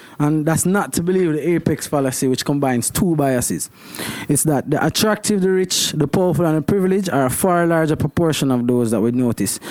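A man talks at a fairly quick pace in a fairly high voice with ordinary pitch variation and very even loudness. Noticeable background noise can be heard. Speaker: podcast co-host. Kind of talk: casual chat.

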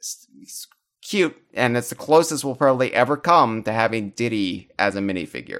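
A man's plain, everyday voice, medium in pitch, with lively intonation at a moderate pace. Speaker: podcast host. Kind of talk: casual chat. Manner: joking, rambling.

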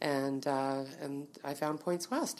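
A woman's very deep, low voice with a Canadian accent and fairly even intonation. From Manitoba, Winnipeg. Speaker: business owner. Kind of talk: interview. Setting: office.

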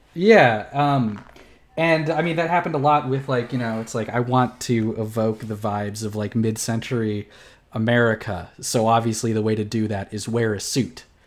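Here is a man with an unremarkable speaking voice and medium pitch. He speaks at a moderate pace with ordinary pitch variation. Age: 20s. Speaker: podcast co-host. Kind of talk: casual chat.

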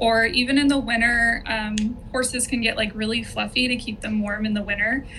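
A woman with an American accent speaks at a fairly quick pace, fairly high in pitch, with monotone, flat intonation. Audible room echo and noticeable background noise surround her voice. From Southern California. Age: 30s. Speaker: horse owner. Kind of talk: casual interview.

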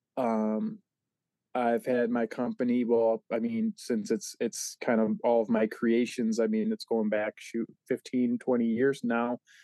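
A man with an American accent talks at a very slow pace and medium pitch, his dark, mellow tone held at a very even loudness in a dry, close sound with no echo. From Michigan, US. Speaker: comic creator and toy line founder. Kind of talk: casual interview chat. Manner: fillers, rambling, enthusiastic.

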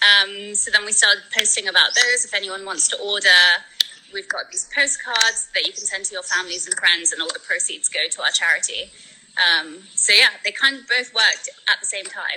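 A woman with a London accent talks at a moderate pace, her loudness swinging widely. Noticeable background noise runs underneath. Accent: British English, London. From born in Spain, raised in London. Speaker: world traveler and charity fundraiser. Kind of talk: casual interview chat. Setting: video call from the Philippines.

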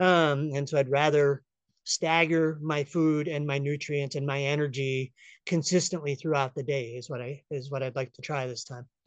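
Against a quiet background, a speaker with an American accent talks at a moderate pace with flat, monotone intonation and big swings in loudness. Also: man, fairly high pitch for a man. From upstate New York. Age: 50s. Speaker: hiker. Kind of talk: casual chat.

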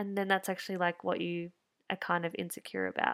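On a very clean recording with a silent background, a woman with an Australian accent speaks at a fairly low pitch. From rural Victoria, Australia. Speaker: podcast host, interior designer. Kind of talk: casual solo monologue.

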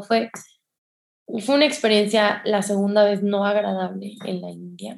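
A woman in a Mexican accent talks slowly-ish, at a fairly slow pace, with a somewhat breathy, medium-pitched voice and monotone, flat intonation. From Mexico, San Luis Potosí. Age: 20s. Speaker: public speaker and addiction therapist. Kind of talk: interview testimony.

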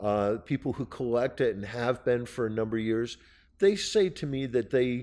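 Here is a man with an unremarkable speaking voice at medium pitch. The recording is very clean with a silent background. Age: 60s. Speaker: artist. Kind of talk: casual chat. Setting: studio.

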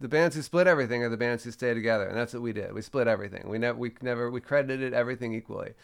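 The recording is very clean, with a silent background. A man talks at a very fast pace. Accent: American. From Washington DC. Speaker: musician. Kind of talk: interview. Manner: halting.

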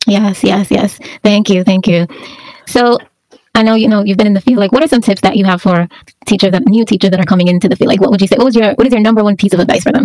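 A woman with an American accent talks at a very fast pace. Her pitch sits in the medium range and varies in an ordinary way. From Jamaica. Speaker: podcast host. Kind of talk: casual interview.

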